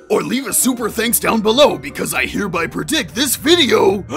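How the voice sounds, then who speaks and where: A cartoonish character voice moves along at a fairly quick pace. Clear music plays in the background. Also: man, extremely high pitch for a man. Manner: sarcastic, blunt.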